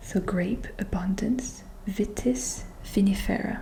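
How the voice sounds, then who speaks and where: Noticeable background noise surrounds a voice that is soft-spoken. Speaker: ASMR content creator. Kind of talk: ASMR oracle card reading. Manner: soft-spoken, slow.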